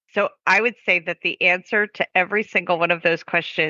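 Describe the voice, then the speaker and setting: A plain, everyday voice from a woman, medium in pitch, at a moderate pace. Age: 50s. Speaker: dog trainer and podcast co-host. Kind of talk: casual chat.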